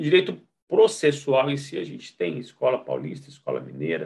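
This is a man speaking. His pace is fairly slow. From Rondônia, northern Brazil. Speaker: law professor. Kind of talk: interview. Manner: halting.

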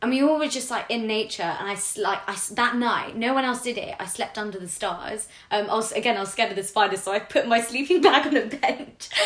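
Someone with a London accent talks at a fairly quick pace over noticeable background noise. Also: woman, fairly high pitch for a woman, ordinary pitch variation. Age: 20s. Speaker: public sector worker. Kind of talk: casual chat.

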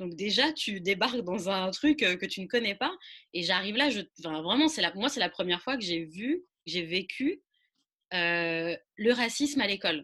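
In a quiet background, a woman with a medium pitch and a bright, sharp tone speaks at a fairly slow pace with lively intonation. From French suburbs. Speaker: podcast host. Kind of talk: interview. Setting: remote recording.

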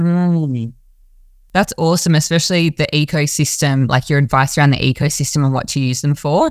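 A woman speaks at a fairly quick pace with a very deep, low pitch, very even loudness and fairly even intonation, in a very clean recording with a silent background. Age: 30s. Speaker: podcast host. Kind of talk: interview.

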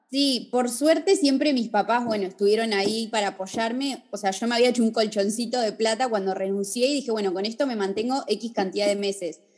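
Against noticeable background noise, a woman speaks at a fairly quick pace in a fairly high pitch with ordinary pitch variation. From Argentina, Bariloche. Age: 30s. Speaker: fashion designer and influencer. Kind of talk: casual interview. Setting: video call.

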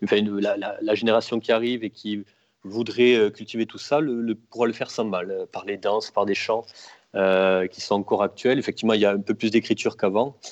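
At a moderate pace and fairly low pitch, a man speaks with a dry, close sound with no echo against a quiet background. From Toulouse, southwest France. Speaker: bookseller, Occitan studies graduate. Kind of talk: casual chat. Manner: halting, many hesitations.

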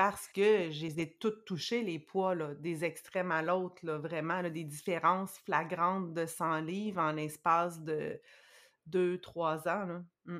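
Over a silent background in a very clean recording, a woman speaks very slowly at a fairly low pitch with fairly even intonation. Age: 40s. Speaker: guest sharing personal experience with dieting. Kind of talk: testimony.

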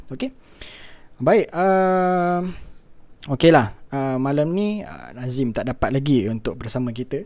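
A man with a fairly high pitch talks at a very slow pace, with long, frequent pauses, lively intonation and big swings in loudness. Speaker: live talk show host. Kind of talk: live-streamed talk show hosting. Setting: live online stream.

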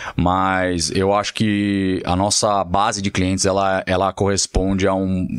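This is a man's voice. It sits very deep and low in pitch. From Brazil, São Paulo. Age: 30s. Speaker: luxury car dealer. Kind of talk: casual interview.

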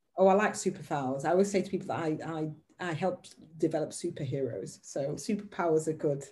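Her pitch very deep and low, a woman speaks at a very fast pace in a somewhat breathy voice with a dark, mellow tone and big swings in loudness. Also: ordinary pitch variation. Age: 50s. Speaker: podcast host. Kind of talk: conversational interview. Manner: hesitant, many fillers.

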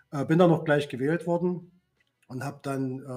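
The intonation stays fairly even in a plain, everyday voice. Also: man. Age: 50s. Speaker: works council chair and trade unionist. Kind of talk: casual chat.

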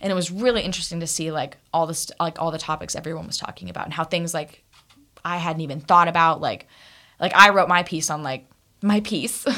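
On a very clean recording with a silent background, a woman speaks at a very fast pace with a fairly low pitch, a bright, sharp tone, ordinary pitch variation and big swings in loudness. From Kansas. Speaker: recent psychology graduate. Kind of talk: casual chat. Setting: studio.

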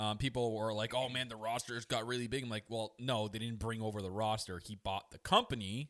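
In a plain, everyday voice, a man speaks fairly quickly at a medium pitch with fairly even intonation and hardly any pauses. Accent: Canadian. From Canada. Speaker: wrestling podcast host. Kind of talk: casual chat.

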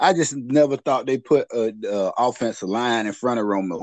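A man with a plain, everyday voice speaks at a moderate pace and a medium pitch, with lively intonation. The background is quiet, and the sound is dry and close with no echo. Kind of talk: casual podcast chat about sports. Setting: remote call joining late.

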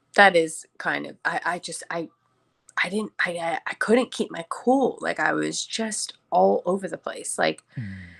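With music in the background, a woman's voice swings widely in loudness, recorded dry and close with no echo. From Chicago. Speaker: yoga teacher and wellness mentor. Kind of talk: casual interview chat.

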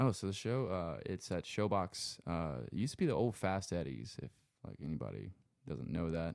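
A man's very deep, low voice with vocal fry and very wide pitch swings, over a quiet background. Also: moderate pace. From Lafayette, Louisiana. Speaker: sound engineer and guitarist. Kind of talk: casual chat. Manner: casual, filler-heavy, laid-back.

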